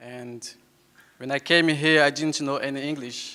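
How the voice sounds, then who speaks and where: A man with a bright, sharp tone at a fairly slow pace. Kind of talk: conference talk. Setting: stage with audience. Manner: halting, with fillers and repetitions.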